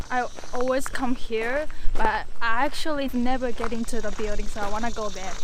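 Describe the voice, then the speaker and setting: A woman speaks at a high pitch and a moderate pace. Noticeable background noise and audible room echo surround her voice. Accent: Japanese. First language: Japanese. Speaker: urban explorer vlogger. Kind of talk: casual vlog walkthrough. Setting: outdoors. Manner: animated. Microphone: bad audio.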